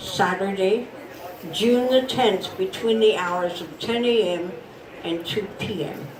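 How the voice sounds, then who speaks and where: Noticeable background noise sits behind a woman speaking fairly slowly with an American accent and ordinary pitch variation. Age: 80s+. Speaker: festival storyteller. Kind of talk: historical storytelling to a live audience. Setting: outdoors.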